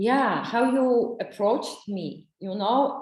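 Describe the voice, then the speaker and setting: With a non-native accent, a woman talks very slowly at a fairly high pitch, and audible room echo carries her words. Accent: foreign. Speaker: ayurveda therapist and psychologist. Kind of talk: interview. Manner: halting.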